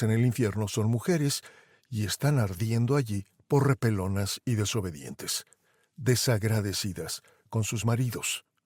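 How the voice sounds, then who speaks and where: A man speaks at a moderate pace in a plain, everyday voice, medium in pitch with ordinary pitch variation, recorded dry and close with no echo against a silent background in a very clean recording. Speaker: podcast host and narrator. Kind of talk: podcast commentary narration.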